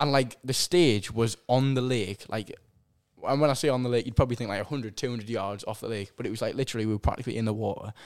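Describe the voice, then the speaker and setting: Speaking very fast, a man at medium pitch with ordinary pitch variation has a strong Sunderland accent. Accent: strong regional (Sunderland). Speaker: musician. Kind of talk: casual chat. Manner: halting.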